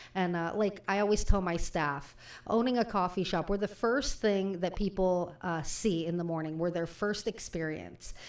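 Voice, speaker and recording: This woman has an ordinary speaking voice at a medium pitch, talking at a moderate pace with ordinary pitch variation and hardly any pauses. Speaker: radio show host and coffee shop owner. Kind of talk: radio talk show host. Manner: chatty, upbeat.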